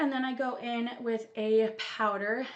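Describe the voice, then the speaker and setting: Against noticeable background noise and audible room echo, a woman speaks at a fairly high pitch. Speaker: beauty vlogger. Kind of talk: makeup tutorial chat. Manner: casual, many filler words.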